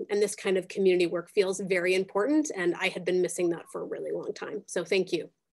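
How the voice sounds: Using a put-on character voice, a woman with medium pitch speaks raspily at a very fast pace.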